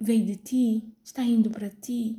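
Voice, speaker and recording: Fairly even intonation from a woman, somewhat breathy, with a dark, mellow tone. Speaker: pastor. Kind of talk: sermon. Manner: halting, many fillers.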